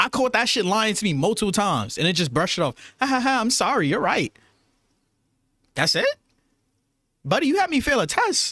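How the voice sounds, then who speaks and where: A man's raised, projected voice in a New York accent, high-pitched with a bright, sharp, animated tone and very wide pitch swings. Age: 20s. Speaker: YouTube streamer. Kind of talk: casual livestream chat. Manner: fast.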